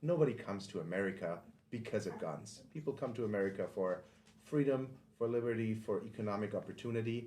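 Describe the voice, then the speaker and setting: A man talks at a fairly quick pace and medium pitch, with ordinary pitch variation and audible room echo. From Germany. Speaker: podcast host and firearms instructor. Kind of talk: podcast monologue intro. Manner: casual with frequent filler ums.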